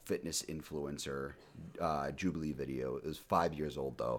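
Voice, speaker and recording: A man talks with an American accent and vocal fry. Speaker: podcast host. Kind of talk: casual chat. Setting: remote recording. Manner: casual, profane.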